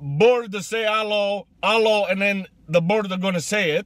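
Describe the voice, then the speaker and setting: The man's voice comes through dry, with no echo. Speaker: comedian in character. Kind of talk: comedic character monologue. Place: car. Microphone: phone near.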